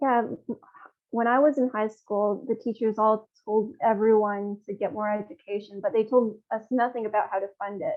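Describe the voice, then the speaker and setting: A woman speaks in a normal speaking voice with a Canadian accent. Her pitch is fairly high, her intonation fairly even, her pace moderate. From Canada, born in Hubei, China. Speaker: social services advocate, former city council candidate. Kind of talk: interview.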